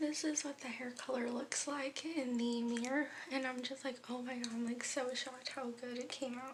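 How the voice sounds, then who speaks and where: Her pitch high and her intonation fairly even, a woman speaks with audible room echo. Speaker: vlogger. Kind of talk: vlog talk to camera; casual chat. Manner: quiet.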